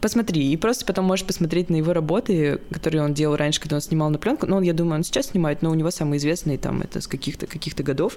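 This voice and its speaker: A woman talks at a very fast pace in a very deep, low voice. Her pitch varies in an ordinary way. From Saint Petersburg, Russia. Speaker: beginner photographer. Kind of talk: casual chat.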